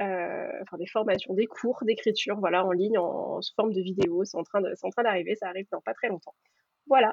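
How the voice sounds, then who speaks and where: This is an unremarkable speaking voice. A woman talks at a moderate pace in a medium pitch, with ordinary pitch variation. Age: 20s. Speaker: professional beta reader and editor. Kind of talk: interview.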